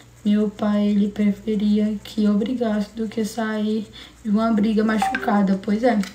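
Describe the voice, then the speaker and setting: Noticeable background noise sits behind a woman speaking at a fairly slow pace. Her pitch is fairly high and her intonation monotone and flat. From Brazil, São Paulo coast (Guarujá). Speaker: livestreamer. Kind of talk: casual livestream chat with viewers. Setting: live stream.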